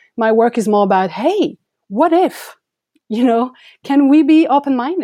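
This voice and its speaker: In a French accent, a woman with a dark, mellow tone speaks at a moderate pace with lively intonation against a quiet background. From France. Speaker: photographer. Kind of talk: interview.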